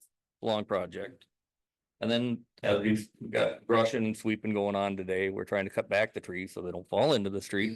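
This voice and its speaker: A man speaks in a fairly low voice at a moderate pace. His intonation stays fairly even. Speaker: public works director. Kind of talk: council meeting report. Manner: loud.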